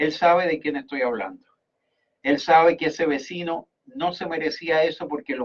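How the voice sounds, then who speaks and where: A fairly high-pitched man's voice at a moderate pace. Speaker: radio host. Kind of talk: radio talk show commentary. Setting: radio studio.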